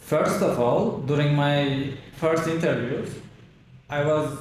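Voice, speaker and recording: Over audible room echo, a man with a Turkish accent talks at a fairly high pitch. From Turkey. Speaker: immigrant, speaking student. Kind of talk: interview.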